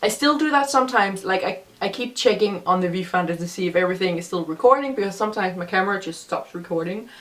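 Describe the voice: A woman speaks fast with few pauses, her pitch in the medium range and her intonation lively. Audible room echo surrounds her voice.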